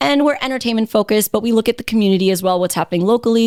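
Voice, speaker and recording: In a New York accent, a woman talks at a very fast pace with ordinary pitch variation, recorded very cleanly against a silent background with a dry, close sound and no echo. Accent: American (New York). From New York City (Queens). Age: 30s. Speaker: radio host. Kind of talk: casual chat. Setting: studio.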